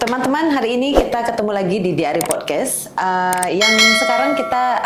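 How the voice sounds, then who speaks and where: Amid noticeable background noise, a woman talks at a moderate pace. Her voice is medium in pitch, with lively intonation. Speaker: podcast host interviewing a guest. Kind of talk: podcast host interview.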